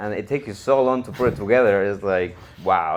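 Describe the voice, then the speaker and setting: At a fairly quick pace, a man with a fairly low voice speaks in a Mexican accent. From Mexico, Cuernavaca, Morelos. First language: Spanish. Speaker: real estate investor. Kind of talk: interview storytelling.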